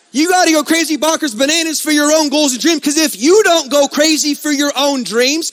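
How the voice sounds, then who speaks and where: Loud and energetic, a man speaks at an extremely high pitch with ordinary pitch variation over noticeable background noise. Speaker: network marketing speaker. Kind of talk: motivational speech. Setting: stage with audience.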